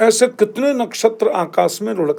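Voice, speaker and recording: A man's voice with lively intonation. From India. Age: 60s. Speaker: spiritual leader. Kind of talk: religious storytelling in interview. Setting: podcast studio.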